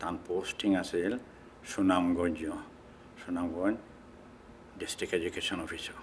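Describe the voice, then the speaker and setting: Against noticeable background noise, a man with a Sylheti accent speaks in a very deep, low pitch. His intonation is monotone and flat. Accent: Sylheti Bengali. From Bangladesh, Sylhet. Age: 70s. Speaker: immigrant interviewee, retired worker. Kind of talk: oral history interview. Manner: halting.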